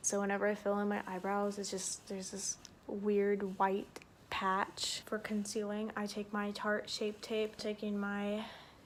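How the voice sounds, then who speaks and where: A soft-spoken woman at a medium pitch, flat and monotone, at a fairly slow pace, with noticeable background noise. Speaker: beauty vlogger. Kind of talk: tutorial. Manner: casual, filler-heavy.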